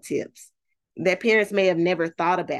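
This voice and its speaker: Against a quiet background, a woman with an unremarkable speaking voice talks with ordinary pitch variation. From Texas, Fort Worth. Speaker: parent literacy advocate. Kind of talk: interview.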